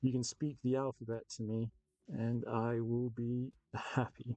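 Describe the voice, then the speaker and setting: A man with an English accent speaks at a medium pitch in a flat monotone, his dark, mellow tone dry and close with no echo. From England. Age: 30s. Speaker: miniature painting streamer. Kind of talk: casual live-stream chat while painting. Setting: live stream.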